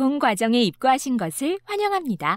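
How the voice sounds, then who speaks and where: Using very wide pitch swings, a woman speaks at a moderate pace with a high pitch. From South Korea. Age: 20s. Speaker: voice actor. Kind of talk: e-learning narration.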